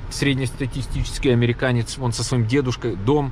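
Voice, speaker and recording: A man is speaking. There is light background noise, and the sound is dry with no echo. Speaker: travel vlogger. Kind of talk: casual vlog chat. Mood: upbeat. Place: car. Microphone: phone near.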